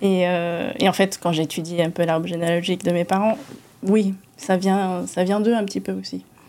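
Dark and mellow in tone, a woman speaks at a moderate pace. The recording is very clean, with a silent background. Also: medium pitch for a woman, ordinary pitch variation. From Monaco. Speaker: business association president. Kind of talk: interview. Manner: hesitant.

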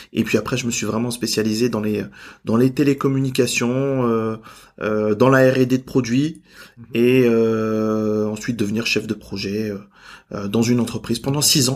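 Here a man speaks at a medium pitch and a fairly slow pace. His intonation is monotone and flat. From Normandy, France. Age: 30s. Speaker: entrepreneur and business coach. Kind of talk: interview.

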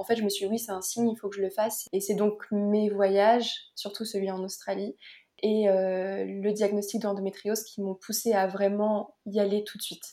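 At a moderate pace, a woman speaks at medium pitch with a dark, mellow tone. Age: 20s. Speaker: naturopath and yoga teacher. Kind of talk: interview about personal health story.

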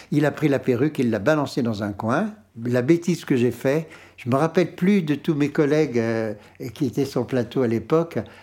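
This man talks at a moderate pace with a dark, mellow tone. His intonation is lively. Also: very clean recording, silent background. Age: 70s. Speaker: retired opera hairdresser and make-up artist. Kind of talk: interview, personal anecdotes. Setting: at his home.

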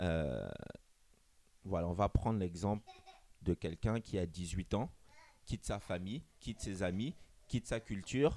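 Long, frequent pauses at a fairly slow pace with ordinary pitch variation. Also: man. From Gabon and Benin heritage. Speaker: dating app co-founder. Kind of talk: interview. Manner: halting, repeats words.

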